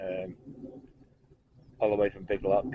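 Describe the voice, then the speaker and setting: A man speaks quietly at a fairly quick pace with a very deep, low pitch. His intonation stays fairly even. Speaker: narrowboat vlogger. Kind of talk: casual vlog.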